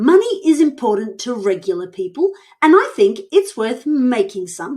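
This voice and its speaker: A woman uses a put-on character voice at a high pitch. Her pitch swings very widely. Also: moderate pace. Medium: read story.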